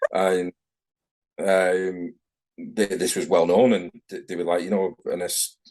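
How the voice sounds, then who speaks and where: This man speaks with a Manchester accent. His voice sits fairly low, with ordinary pitch variation. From northern England, Manchester. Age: 40s. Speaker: tattoo artist. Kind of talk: casual interview chat. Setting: video call.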